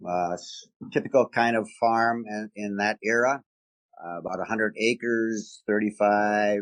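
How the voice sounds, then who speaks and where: Speaking at a very slow pace, a man with a medium pitch keeps his intonation fairly even, the sound dry and close with no echo. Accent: American. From rural Wisconsin, US Midwest. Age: 70s. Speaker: retired business executive, Vietnam veteran. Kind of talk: interview. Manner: hesitant, many fillers.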